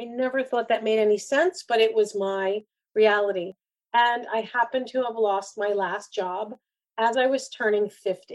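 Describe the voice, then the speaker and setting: A woman speaks in an ordinary speaking voice. Her pitch is fairly high and varies in an ordinary way. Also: moderate pace. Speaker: career coach and keynote speaker. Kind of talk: interview conversation.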